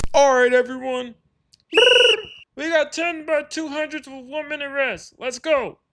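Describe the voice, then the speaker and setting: A high, put-on character voice moves at a moderate pace, broken by long, frequent pauses. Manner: barking orders.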